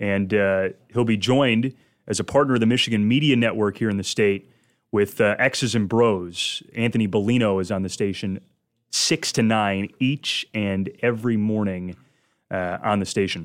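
An American-accented man speaks at a moderate pace with a fairly low pitch, fairly even intonation and an ordinary speaking voice, on a very clean recording with a silent background. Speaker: sports radio host. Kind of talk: sports radio talk show. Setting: studio with live audience.

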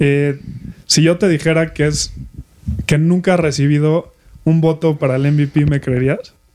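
With a dark, mellow tone and fairly high pitch, a man talks at a fairly slow pace in monotone, flat intonation, keeping very even loudness through long, frequent pauses. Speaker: sports podcast co-host. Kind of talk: casual chat.

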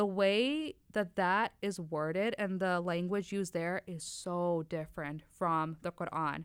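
A woman with an unremarkable speaking voice talks at a fairly slow pace in a fairly low pitch, with ordinary pitch variation and hardly any pauses. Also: very clean recording, silent background. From Wisconsin. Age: 20s. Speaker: lab technician. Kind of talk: casual chat.

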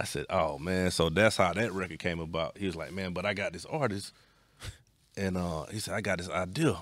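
A man with an Atlanta accent speaks at a fairly quick pace in a very deep, low pitch. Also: ordinary pitch variation. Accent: Southern US, Atlanta. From US South, East Atlanta. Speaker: music producer. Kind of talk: casual chat.

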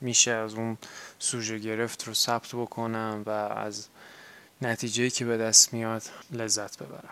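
Speaking at a fairly slow pace with long, frequent pauses, a man delivers his words at a medium pitch in a bright, sharp tone with monotone, flat intonation. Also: big swings in loudness. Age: 20s. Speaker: podcast host and graduate student. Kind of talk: personal monologue.

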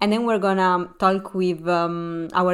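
A woman's fairly low voice, clear and smooth in tone, with fairly even intonation.

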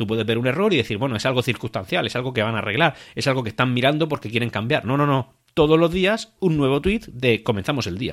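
Very fast male speech, medium in pitch, with lively intonation. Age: 30s. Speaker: football podcast host. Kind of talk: solo podcast commentary.

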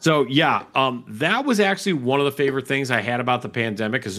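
A man with an American accent has an unremarkable speaking voice with lively intonation. He talks at a fairly quick pace with hardly any pauses. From Chicago.

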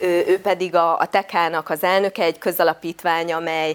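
Speaking in an ordinary speaking voice, a woman keeps a fairly low pitch and fairly even intonation. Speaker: member of parliament hosting a public forum. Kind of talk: moderated panel discussion.

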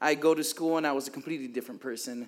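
A man with a normal speaking voice speaks at a fairly high pitch with fairly even intonation. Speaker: church member. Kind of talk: testimony. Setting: church gathering with audience.

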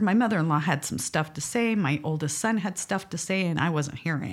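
This woman has a plain, everyday voice, fairly low in pitch, with lively intonation. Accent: American. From Utah, Salt Lake area. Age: 50s. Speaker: podcast guest. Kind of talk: casual chat. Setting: studio.

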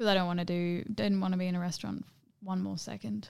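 On a very clean recording with a silent background, a soft-spoken woman talks with an Australian accent. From Perth, Western Australia. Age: 20s. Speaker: dancer and performer. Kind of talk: casual chat.

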